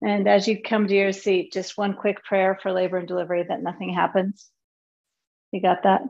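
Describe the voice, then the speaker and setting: At a moderate pace, a woman speaks in a calm, soothing tone of medium pitch with monotone, flat intonation. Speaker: yoga teacher. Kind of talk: guided yoga class. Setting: video call.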